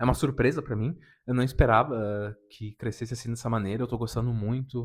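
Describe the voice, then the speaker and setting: Very cleanly recorded against a silent background, a man with a plain, everyday voice speaks at a fairly quick pace, medium in pitch with fairly even intonation. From southern Brazil, Rio Grande do Sul (Serra region). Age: 30s. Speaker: anime YouTuber. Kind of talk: casual unedited self-introduction vlog.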